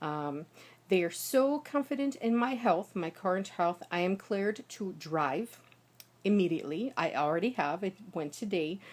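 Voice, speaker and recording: With an American accent, a woman speaks at a moderate pace and medium pitch, her pitch swinging very widely. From United States. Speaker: linguist and professional singer. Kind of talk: casual talk to camera. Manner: some trouble with consonant clusters.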